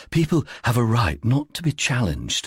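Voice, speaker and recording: A husky, put-on character voice moves at a moderate pace with very wide pitch swings. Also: man, medium pitch for a man. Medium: read story. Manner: earnest, helpful.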